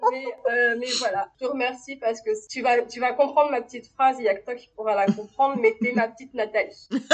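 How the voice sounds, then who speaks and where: Speaking at a fairly quick pace, a woman with a high pitch keeps a fairly even intonation but shows big swings in loudness. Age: 30s. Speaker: kinesiologist running family workshops. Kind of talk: interview testimony. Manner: hesitant, many fillers.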